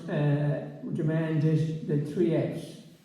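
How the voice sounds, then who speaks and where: There is audible room echo and noticeable background noise. A man speaks in a western Irish accent at a fairly high pitch. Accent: Irish, west of Ireland. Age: 80s+. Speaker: retired agricultural adviser and author. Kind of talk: public talk interview. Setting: community centre with audience. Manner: halting with many fillers.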